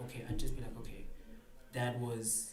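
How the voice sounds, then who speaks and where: The intonation is flat and monotone. Noticeable noise sits in the background. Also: man. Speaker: spoken word poet. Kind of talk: podcast interview answer. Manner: hesitant, casual.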